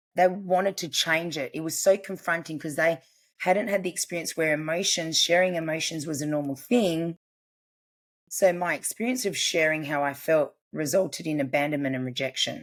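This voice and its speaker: At a moderate pace, a woman with an ordinary speaking voice talks at a fairly low pitch with ordinary pitch variation, on a very clean recording with a silent background. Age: 40s. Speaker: family constellations practitioner. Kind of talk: interview.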